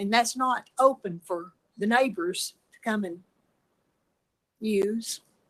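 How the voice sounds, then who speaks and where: Her tone is bright and sharp, and her pitch is fairly high. This woman speaks in an East Tennessee accent with fairly even intonation. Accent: Southern US (East Tennessee). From US South. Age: 70s. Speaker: resident speaking in opposition. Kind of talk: public comment at a planning hearing. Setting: public meeting, speaking at a mic.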